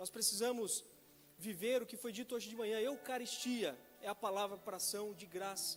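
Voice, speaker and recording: Music plays behind a man speaking at a moderate pace in a high pitch with ordinary pitch variation. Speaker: pastor. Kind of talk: sermon.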